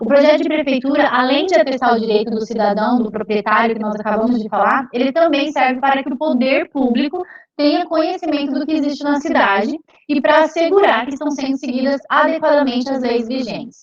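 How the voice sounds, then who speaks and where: A woman at a high pitch and a fairly quick pace. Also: ordinary pitch variation. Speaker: civil engineer. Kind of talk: lecture. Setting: video call. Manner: fast.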